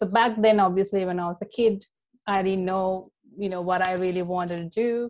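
Her pace is fairly quick and her pitch medium. This woman speaks with monotone, flat intonation. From Sri Lanka. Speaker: life coach. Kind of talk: podcast interview. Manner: frequent fillers (um).

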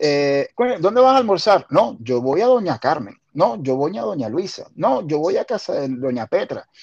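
A man speaks at a fairly slow pace, his fairly high pitch swinging very widely. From Venezuela, La Guaira. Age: 40s. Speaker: podcast host. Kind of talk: casual chat.

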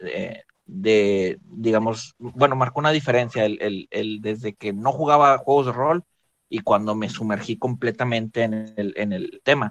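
With a Mexican accent, a man speaks at a moderate pace, his medium pitch showing ordinary variation. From Mexico. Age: 20s. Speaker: tabletop role-playing gamer. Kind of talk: casual panel chat.

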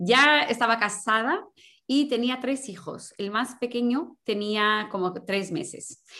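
Over a quiet background, a woman talks at a very slow pace with a fairly high pitch. Her intonation is lively and her tone bright and sharp. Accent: Portuguese. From Portugal. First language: Portuguese (speaking Spanish). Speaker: sports mental coach. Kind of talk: interview. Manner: halting.

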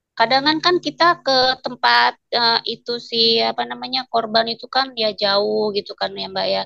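Barely pausing at all, a woman speaks at a fairly slow pace. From Lampung, Indonesia. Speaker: complaint officer for violence victims. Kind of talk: interview. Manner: casual, hesitant with fillers.

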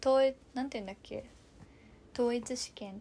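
At a moderate pace, a woman with an animated tone speaks at a fairly high pitch with ordinary pitch variation on a very clean recording with a silent background. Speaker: podcast co-host, daughter recounting her study abroad. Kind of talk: casual chat. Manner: animated, laughing often.

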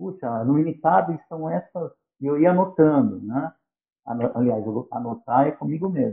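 The man's fairly high voice moves through very wide pitch swings. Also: moderate pace. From São Paulo, Brazil. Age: 50s. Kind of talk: podcast interview.

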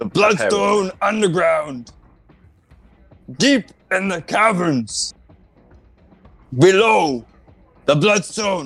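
A man shouting in a high-pitched, put-on character voice, very slow, with long, frequent pauses and faint music in the background. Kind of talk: comic overacting. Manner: shouting, bombastic hyperbole; blurts short declarations, refers to himself by name.

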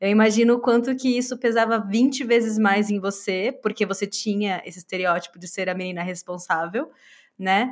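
On a very clean recording with a silent background, a woman uses a normal speaking voice of medium pitch at a moderate pace, with ordinary pitch variation and big swings in loudness. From Brazil. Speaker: podcast co-host. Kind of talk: casual chat.

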